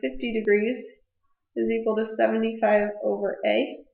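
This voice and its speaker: Audible room echo surrounds a woman with a fairly high pitch. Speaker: math teacher. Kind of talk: tutorial.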